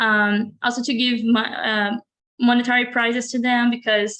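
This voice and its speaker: Bright and sharp in tone, this woman's voice sits at a high pitch. She has a Brazilian Portuguese accent. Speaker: college graduate, art student. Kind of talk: interview. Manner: halting.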